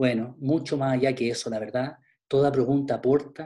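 A man's dark, mellow voice at medium pitch, moderate in pace, with fairly even intonation. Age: 50s. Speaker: pastor. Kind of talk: online Bible class.

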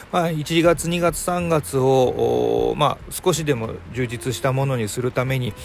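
He has a normal speaking voice. His pitch is medium for a man and shifts in an ordinary way. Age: 40s. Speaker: podcast host. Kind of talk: casual chat.

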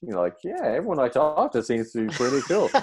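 This man speaks with an Irish accent at a medium pitch. The background is quiet. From Ireland. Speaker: comedian and actor. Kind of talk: casual chat.

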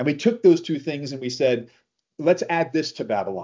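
Using an ordinary speaking voice, a man talks at a fairly quick pace in a fairly high pitch with lively intonation. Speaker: podcast host. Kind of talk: casual chat.

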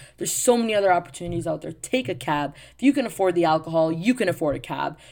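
The woman has a plain, everyday voice, fairly low in pitch, with ordinary pitch variation. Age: 20s. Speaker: podcast host, teacher. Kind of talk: casual monologue.

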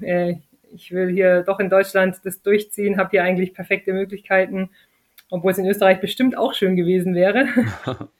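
A woman with a plain, everyday voice speaks at a moderate pace and medium pitch, keeping her intonation fairly even. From southern Germany, Lake Constance area. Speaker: retired professional beach volleyball player. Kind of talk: interview.

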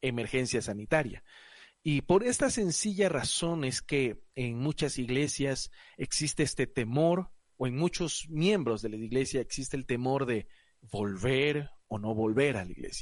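A man with a plain, everyday voice speaks at medium pitch and a fairly slow pace, with ordinary pitch variation. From Ecuador, Guayaquil. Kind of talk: casual panel discussion. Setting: recording from home.

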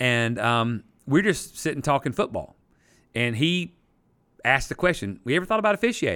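Recorded very cleanly over a silent background, a man with a Southern US accent speaks at a moderate pace in a fairly high, bright, sharp voice, with very wide pitch swings and long, frequent pauses. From South Carolina, Easley. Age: 50s. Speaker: pastor and sports referee. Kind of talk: casual interview. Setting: church classroom.

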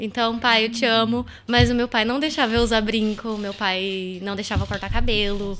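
A woman at fairly high pitch and a moderate pace, fairly even in intonation, with hardly any pauses and music in the background. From Brazil, São Paulo state (São José dos Campos). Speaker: entrepreneur. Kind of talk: casual chat. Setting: live-streamed podcast studio.

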